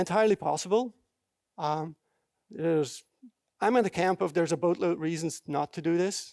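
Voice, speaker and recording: A man speaks at a moderate pace in a high pitch with ordinary pitch variation, on a very clean recording with a silent background and a dry, close sound with no echo. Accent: non-native. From Belgium. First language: not English. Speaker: software developer, conference speaker. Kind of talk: conference talk. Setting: stage with audience. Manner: halting, many fillers.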